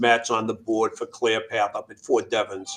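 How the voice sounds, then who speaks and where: This is a man speaking with a Boston accent. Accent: New England (Boston-area). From Massachusetts, Worcester. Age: 60s. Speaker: veteran charity founder. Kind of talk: interview. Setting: radio show.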